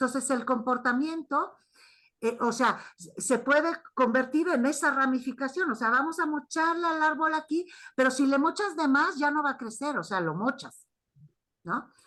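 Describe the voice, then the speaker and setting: A woman speaks at a fairly slow pace, her pitch high. Her tone is bright and sharp, and her intonation lively. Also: quiet background. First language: not Spanish (speaking Spanish). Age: 60s. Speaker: primatologist and anthropologist. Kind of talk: academic discussion. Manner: halting.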